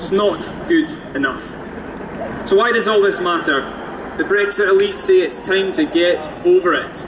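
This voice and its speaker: A high-pitched man with a Scottish accent talks at a moderate pace with lively intonation and long, frequent pauses over noticeable background noise. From Scotland, Fife. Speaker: youth activist. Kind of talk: compering announcement; rally speech. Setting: outdoor stage with crowd. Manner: rousing. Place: street.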